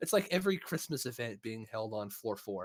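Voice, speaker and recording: A man with a Midwestern accent at a fairly quick pace, full of very wide pitch swings, on a very clean recording with a silent background and a dry, close sound with no echo. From US Midwest (Missouri). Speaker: podcast host. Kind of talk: casual chat.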